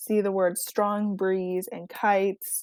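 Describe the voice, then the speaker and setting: The pace is fairly slow. The sound is dry and close, with no echo. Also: woman. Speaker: teacher. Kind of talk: lesson tutorial. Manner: careful, clear enunciation.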